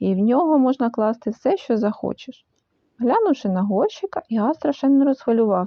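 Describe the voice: Plain reading aloud with lively intonation and a quiet background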